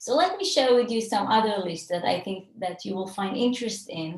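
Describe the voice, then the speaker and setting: Here is a woman with an Israeli accent. Her voice is somewhat breathy. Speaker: cross-cultural consultant. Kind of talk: webinar lecture.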